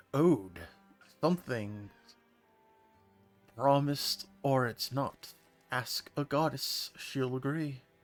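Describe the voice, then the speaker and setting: Using a put-on character voice, a man of medium pitch talks at a very slow pace with long, frequent pauses. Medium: game stream. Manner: formal, haughty.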